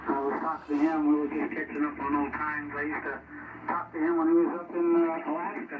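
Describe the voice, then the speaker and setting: A man talks at a very fast pace in a fairly high, monotone voice with flat intonation. Audible room echo and noticeable background noise fill the recording. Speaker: CB radio operator. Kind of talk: radio chat. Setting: radio transmission. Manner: loud.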